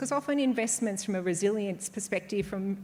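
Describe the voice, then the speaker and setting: A woman talks fairly quickly at a medium pitch. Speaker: conference speaker. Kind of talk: conference presentation. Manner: fast; hesitant, many fillers.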